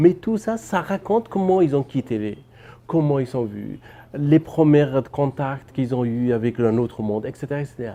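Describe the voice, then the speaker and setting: A man with a Persian accent and a dark, mellow tone speaks fairly high and fairly slowly, with very wide pitch swings. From Afghanistan. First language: Persian (speaking French). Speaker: novelist and filmmaker. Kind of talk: interview. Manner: halting, with repetitions.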